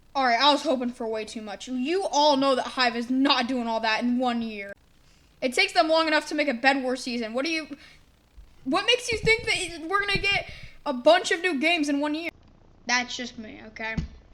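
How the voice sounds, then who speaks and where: A woman's high-pitched, animated voice with lively intonation, against noticeable background noise. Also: fairly quick pace. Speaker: gaming youtuber. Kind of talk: casual commentary reviewing old predictions. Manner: animated, casual.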